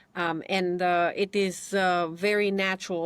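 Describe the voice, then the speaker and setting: On a very clean recording with a silent background and a dry, close sound with no echo, a woman speaks at a medium pitch. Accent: Romanian. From Romania. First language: Romanian. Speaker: immigration attorney. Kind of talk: interview.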